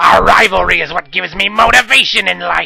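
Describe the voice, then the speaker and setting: Using a raspy put-on character voice, a man speaks at a fairly quick pace. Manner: menacing; theatrical.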